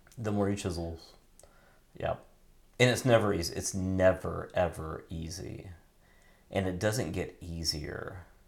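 Long, frequent pauses break up a man's fairly slow speech. His pitch is very deep and low with ordinary variation, and there is audible room echo. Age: 50s. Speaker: podcast host and pastor. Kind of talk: casual chat. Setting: home bathroom. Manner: halting.

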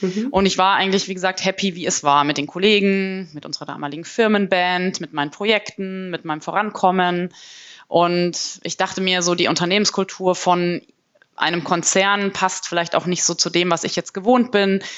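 A woman with an unremarkable speaking voice talks at a moderate pace, at medium pitch and with ordinary pitch variation. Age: 30s. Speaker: management consultant. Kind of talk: interview.

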